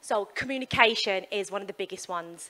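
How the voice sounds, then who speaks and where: In a West Midlands accent, a woman speaks at a fairly quick pace. Her pitch varies in an ordinary way. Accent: West Midlands English, obvious. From West Midlands, England. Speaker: sports performance psychologist. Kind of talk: keynote talk. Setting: stage with audience, handheld mic. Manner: casual, with fillers.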